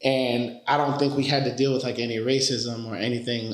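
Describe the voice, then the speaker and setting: The speaker has a New York accent. Audible room echo is present. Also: man. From New York, the Bronx (born Dominican Republic). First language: Spanish. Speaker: finance consultant. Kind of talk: casual chat.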